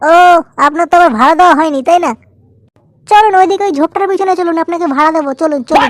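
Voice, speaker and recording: Using a cartoonish character voice, a woman talks at a very fast pace with an extremely high pitch. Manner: pushy, casual.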